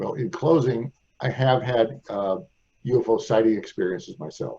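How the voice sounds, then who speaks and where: A man's somewhat breathy, dark, mellow voice at medium pitch, with an American accent, lively intonation and a moderate pace. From US Midwest, St. Louis. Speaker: radio host. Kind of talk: interview.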